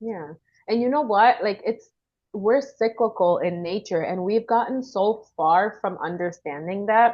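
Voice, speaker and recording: A woman speaks in a Caribbean accent. Her pace is fairly slow. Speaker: women's wellness coach. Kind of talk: casual interview chat.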